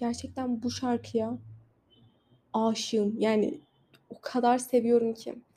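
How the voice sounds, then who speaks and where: A woman with a non-native accent speaks at a high pitch in a dark, mellow tone. Her intonation is monotone and flat. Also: big swings in loudness. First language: not Turkish (speaking Turkish). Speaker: podcaster. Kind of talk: casual monologue. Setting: outdoors on a balcony.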